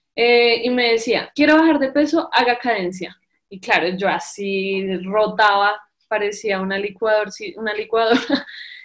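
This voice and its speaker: At a fairly slow pace, an ordinary speaking voice talks with ordinary pitch variation. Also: woman, fairly high pitch for a woman. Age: 20s. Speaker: psychologist and amateur cyclist. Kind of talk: testimony.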